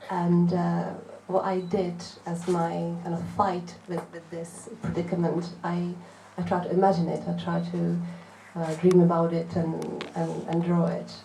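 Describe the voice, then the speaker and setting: A woman with a Czech accent speaks at a fairly slow pace. The recording has audible room echo and noticeable background noise. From Czech Republic. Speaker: visual artist. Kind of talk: panel talk at a book event. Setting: bookshop event with audience. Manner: halting, many hesitations.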